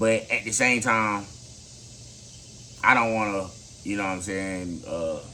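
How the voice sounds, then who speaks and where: In a room with audible echo, a man with a fairly low pitch speaks at a fairly slow pace, his intonation fairly even and his pauses long and frequent. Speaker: motivational vlogger. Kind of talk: motivational talk to camera. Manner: halting.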